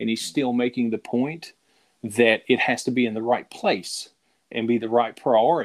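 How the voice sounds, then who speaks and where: Fairly quick, fairly even speech in a Southern US accent on a very clean recording with a silent background. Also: man. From Middle Tennessee, US. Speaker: podcast co-host. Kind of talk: casual chat.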